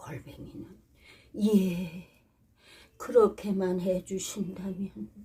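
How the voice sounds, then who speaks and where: Very slowly, a woman speaks in a dark, mellow tone at a fairly low pitch, her voice somewhat breathy. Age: 80s+. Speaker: storyteller, actress. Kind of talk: read story. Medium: read story.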